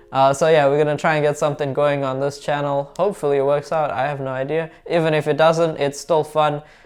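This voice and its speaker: A man with a slight British accent speaks at a very fast pace with hardly any pauses. His pitch is fairly high, on a very clean recording with a silent background. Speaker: car repair YouTuber. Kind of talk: casual vlog talk to camera. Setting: home desk setup with camera. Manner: animated.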